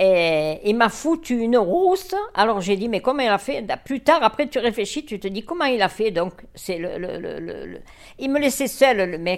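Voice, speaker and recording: A woman speaks fairly slowly at a fairly high pitch, her voice making very wide pitch swings. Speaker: elderly woman sharing childhood memories. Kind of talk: storytelling reminiscence. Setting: indoors, home living room.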